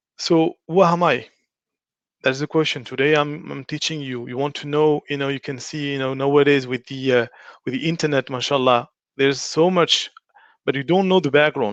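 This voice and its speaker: Recorded with a dry, close sound and no echo, the speaker has a French accent, fairly even intonation and a moderate pace. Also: man. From France. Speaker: religious studies teacher. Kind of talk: online lecture. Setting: online live stream. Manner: halting.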